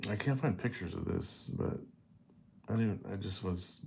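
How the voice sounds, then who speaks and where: Speaking with an American accent at a moderate pace, a man has a very deep, low pitch and a dark, mellow tone that is somewhat breathy. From United States. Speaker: vlogger. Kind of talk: personal storytelling monologue. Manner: halting, many fillers and restarts; casual.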